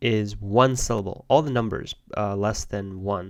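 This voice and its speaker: Fairly slow speech in a Chinese accent with ordinary pitch variation. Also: man. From China. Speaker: Go player and teacher. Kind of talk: live game commentary. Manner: casual, thinking aloud.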